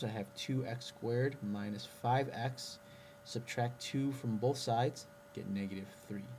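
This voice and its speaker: A man's somewhat breathy voice at a medium pitch, fairly slow, with ordinary pitch variation. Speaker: math teacher. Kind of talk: tutorial.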